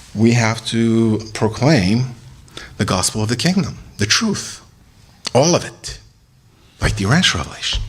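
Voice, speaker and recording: A man with vocal fry speaks at a moderate pace amid audible room echo. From Iran. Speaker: religious speaker. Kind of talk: lecture.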